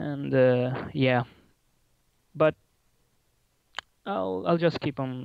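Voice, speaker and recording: A man of medium pitch speaks in an Italian accent with lively intonation. His pace is very slow, broken by long, frequent pauses. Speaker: caller, aspiring writer. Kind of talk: casual chat. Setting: voice call on live stream. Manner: halting.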